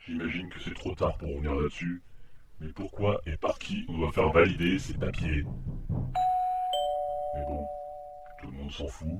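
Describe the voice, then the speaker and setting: A man puts on a character voice with a very deep, low pitch. He keeps a moderate pace over clear background noise. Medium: audio drama. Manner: sarcastic, grumbling.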